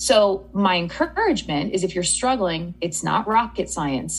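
A woman speaks at a medium pitch with vocal fry. Her pitch variation is ordinary. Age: 30s. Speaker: eating psychology coach. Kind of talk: interview.

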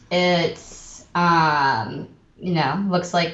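Music in the background behind a woman with an American accent, her pitch fairly low, with audible room echo. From Austin, Texas. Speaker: actor and theater producer. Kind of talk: interview.

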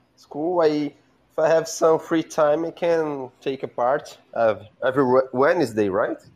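Against a quiet background, a man with a Brazilian Portuguese accent talks at a fairly slow pace, his fairly high pitch showing ordinary variation. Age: 20s. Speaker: caller on live show. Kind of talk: casual chat. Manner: halting.

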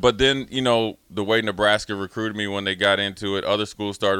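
A man talks at a fairly quick pace with an American accent. His tone is bright and sharp, with fairly even intonation. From Minnesota, family roots in DC area. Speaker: former college football player. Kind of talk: casual chat. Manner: halting, many repetitions.

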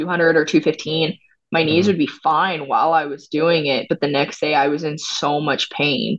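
A woman speaks with fairly even intonation. Her pitch is very deep and low. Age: 20s. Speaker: professional jiu jitsu athlete. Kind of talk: casual interview. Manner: casual.

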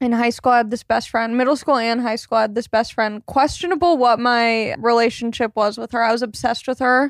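A woman with a normal speaking voice and an American accent talks fairly high in pitch with fairly even intonation and hardly any pauses, in a very clean recording with a silent background. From southern California. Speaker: stand-up comedian. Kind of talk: casual chat.

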